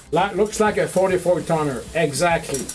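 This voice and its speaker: A man with a Quebec accent at a moderate pace, ordinary pitch variation, and noticeable background noise. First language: French. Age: 50s. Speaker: model railroad hobbyist streamer. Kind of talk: livestream chat showing photos. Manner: halting, many fillers.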